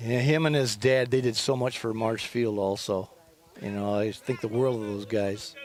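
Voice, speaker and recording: Through noticeable background noise, a man with an American accent speaks at a fairly slow pace with fairly even intonation. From West Michigan (Shelby). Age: 70s. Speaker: former amateur baseball pitcher, guest commentator. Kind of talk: casual chat during live commentary.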